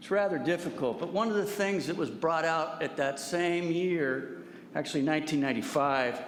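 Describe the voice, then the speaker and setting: A man with an American accent, fairly high pitch, ordinary pitch variation and moderate pace, in audible room echo. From Santa Rosa, California. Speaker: public commenter. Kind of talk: public comment. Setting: public meeting.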